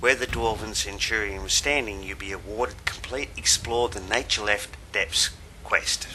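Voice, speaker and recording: A man speaks at a moderate pace in an Australian accent. There is noticeable background noise. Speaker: gaming video guide maker. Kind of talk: game walkthrough tutorial narration.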